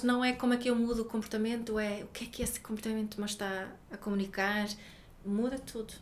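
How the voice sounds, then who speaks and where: Amid audible room echo, a woman with a fairly high voice speaks at a moderate pace with monotone, flat intonation. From Sweden. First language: Swedish (speaking Portuguese). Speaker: parenting educator and author. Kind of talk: interview. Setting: office.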